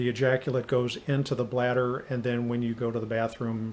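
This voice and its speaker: This man's medium-pitched voice comes at a fairly quick clip. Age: 60s. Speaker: patient sharing medical experience. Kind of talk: personal testimony. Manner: hesitant with frequent fillers.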